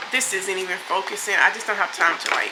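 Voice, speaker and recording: A woman at a moderate pace with fairly even intonation, amid audible room echo and noticeable background noise. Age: 20s. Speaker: beauty vlogger and social worker. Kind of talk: casual get-ready-with-me chat. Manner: casual, filler-heavy.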